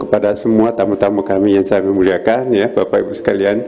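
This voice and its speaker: A man's normal speaking voice, fairly low in pitch with fairly even intonation, over light background noise. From Indonesia. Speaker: grand imam. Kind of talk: welcome speech. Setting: mosque seminar with audience. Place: hall. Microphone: handheld.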